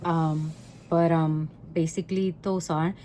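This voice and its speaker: A woman with a Puerto Rican accent speaks at a fairly low pitch and fairly slow pace, her tone dark and mellow. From Puerto Rico. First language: Spanish. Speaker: home cooking vlogger. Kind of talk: cooking tutorial. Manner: halting, many filler ums; casual, conversational.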